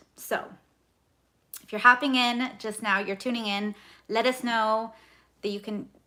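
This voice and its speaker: A woman speaks at a fairly high pitch. Her tone is bright and sharp. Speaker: budgeting youtuber. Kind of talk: casual chat. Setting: livestream. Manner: loud.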